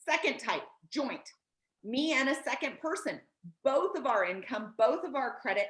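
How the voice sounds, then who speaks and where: A woman speaks at a moderate pace in a high, animated voice that swings very widely in pitch. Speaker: credit advisor and educator. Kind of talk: educational explainer in casual chat.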